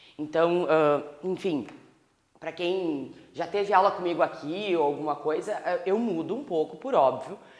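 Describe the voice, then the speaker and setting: A woman's fairly low voice at a moderate pace, with audible room echo. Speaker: law professor. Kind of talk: lecture.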